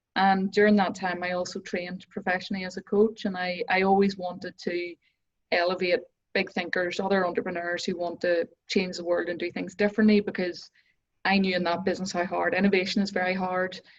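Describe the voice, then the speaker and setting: A woman speaks at a fairly quick pace with a Northern Irish accent. Her intonation is flat and monotone. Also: medium pitch for a woman. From Northern Ireland. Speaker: business coach. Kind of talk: interview.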